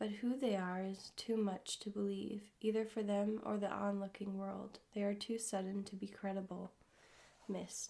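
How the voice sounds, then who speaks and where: This soft-spoken voice moves at a moderate pace. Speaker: ASMR creator. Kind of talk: poetry reading.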